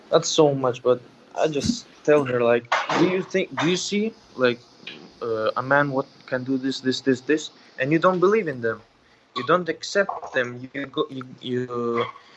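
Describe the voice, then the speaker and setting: A man talks at a fairly slow pace in a fairly high pitch, his intonation lively. His loudness swings widely, and background noise is noticeable. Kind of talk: call-in conversation. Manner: halting.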